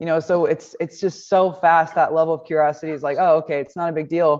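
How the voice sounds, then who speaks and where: A woman talks at a very fast pace with a Midwestern US accent. Her fairly low voice stays monotone and flat. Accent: US Midwest. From Nebraska. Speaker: baseball coach. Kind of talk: press conference. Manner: confident.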